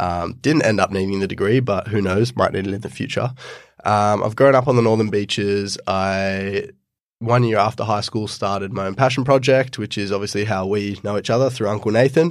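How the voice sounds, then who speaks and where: A man with an unremarkable speaking voice talks at a fairly quick pace, his fairly low pitch moving with ordinary variation over a silent background in a very clean recording. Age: 20s. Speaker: podcaster and entrepreneur. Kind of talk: interview.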